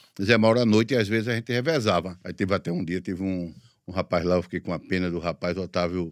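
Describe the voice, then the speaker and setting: A man speaks at a very fast pace with a fairly low pitch and ordinary pitch variation. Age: 50s. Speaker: radio announcer. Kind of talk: interview.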